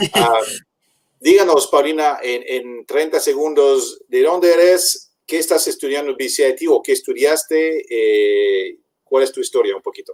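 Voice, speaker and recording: Speaking with a Spanish accent, a man keeps a moderate pace. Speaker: webinar host for study-abroad agency. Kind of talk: webinar Q&A.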